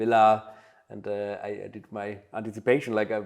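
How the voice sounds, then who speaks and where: A man speaks at a moderate pace in a fairly low pitch, his intonation flat and monotone. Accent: German. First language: German. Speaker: butler and household manager. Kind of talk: interview. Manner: halting, many fillers.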